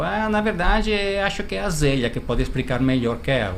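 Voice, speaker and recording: A man with an Italian accent, with audible room echo and noticeable background noise. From northern Italy. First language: Italian (speaking Portuguese). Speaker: travel agency founder. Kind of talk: interview. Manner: halting, with hesitations.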